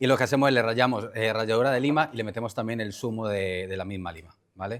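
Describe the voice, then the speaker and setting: Racing at a very fast pace, a man with a medium pitch and ordinary pitch variation shows big swings in loudness. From Colombia. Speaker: chef. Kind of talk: talk explaining a recipe. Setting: conference with audience.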